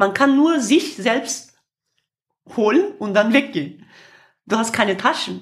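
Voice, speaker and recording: Speaking at a very slow pace, a woman uses lively intonation. She has a Kurdish accent and a fairly high pitch. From Kurdish region of Turkey. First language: Kurdish (speaking German). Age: 50s. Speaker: singer and activist. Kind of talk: interview. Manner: halting, with frequent fillers.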